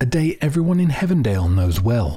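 With a dark, mellow tone and a somewhat breathy quality, a man speaks in very wide pitch swings. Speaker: narrator of a fiction podcast mystery. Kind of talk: scripted narration in a fiction podcast.

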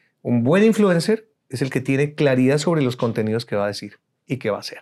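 On a very clean recording with a silent background, a man talks at a fairly quick pace and a medium pitch, with very wide pitch swings. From Colombia. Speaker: speaker coach and TV producer. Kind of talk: interview. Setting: studio.

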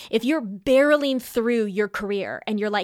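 A woman speaks in a plain, everyday voice, fairly high in pitch with ordinary variation. The recording is very clean, dry and close, with no echo and a silent background. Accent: American. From California. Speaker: podcast host. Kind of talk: solo monologue podcast.

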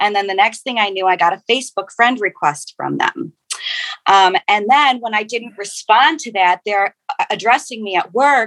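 A woman's bright, sharp, animated tone at a fairly high pitch, with ordinary pitch variation, a moderate pace and a dry, close sound with no echo. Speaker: technical writer and novelist. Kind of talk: panel discussion.

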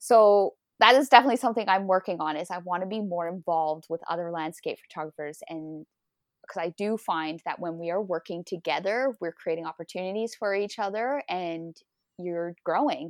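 A woman with a medium pitch talks at a fairly quick pace with ordinary pitch variation. The sound is dry and close with no echo, over a quiet background. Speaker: landscape photographer. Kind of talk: casual interview. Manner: fast talker.

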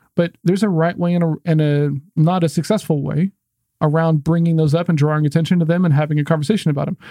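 This man talks very fast in an American accent, his voice fairly high yet dark and mellow in tone. His intonation stays monotone and flat. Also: dry, close sound with no echo. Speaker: sales podcast host. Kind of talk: casual chat. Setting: video podcast. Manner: fast talker.

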